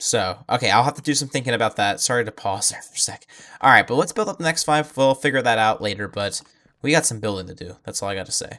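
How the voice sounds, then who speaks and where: Using lively intonation, a man speaks at a very fast pace. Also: medium pitch for a man. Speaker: gaming YouTuber. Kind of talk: gameplay commentary. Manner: casual, many filler words.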